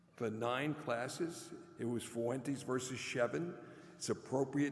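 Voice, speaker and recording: A man with an American accent speaks at medium pitch and a fairly slow pace. Noticeable background noise is present. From New York City (Brooklyn). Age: 80s+. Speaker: commencement speaker, former law professor. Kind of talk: commencement address.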